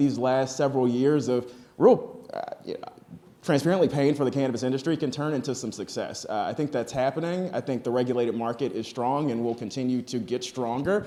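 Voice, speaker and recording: Over noticeable background noise, a voice with an American accent moves at a fairly quick pace with ordinary pitch variation. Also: man. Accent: Southern accent, comes out at times. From Texas. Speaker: cannabis industry panelist. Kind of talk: conference panel discussion. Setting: stage with audience.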